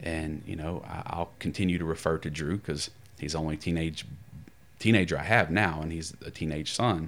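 This man's pitch is very deep and low, with ordinary variation. He speaks with an American accent at a moderate pace. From US South. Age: 30s. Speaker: pastoral counselor. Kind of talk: casual chat.

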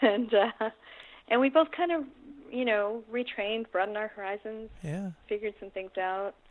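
Here is a plain, everyday voice with an American accent. It moves at a moderate pace with ordinary pitch variation. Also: woman, fairly high pitch for a woman. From United States. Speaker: lawyer and activist. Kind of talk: interview.

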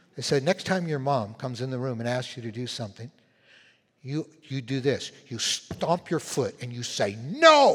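In an ordinary speaking voice, a man talks at medium pitch, his pitch varying in an ordinary way. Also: moderate pace. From Canada, prairies (Winnipeg). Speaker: pastor. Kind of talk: sermon.

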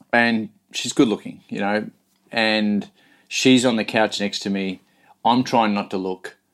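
A man's fairly low, monotone voice with flat intonation, a fairly slow pace and long, frequent pauses. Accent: Australian. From rural Australia. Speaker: motivational speaker and coach. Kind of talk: interview conversation.

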